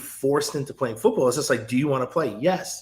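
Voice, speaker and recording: A man's somewhat breathy, fairly high voice with an American accent and ordinary pitch variation. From New York, Westchester (Edgemont). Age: 30s. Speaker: former football player and university staff. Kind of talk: interview podcast conversation.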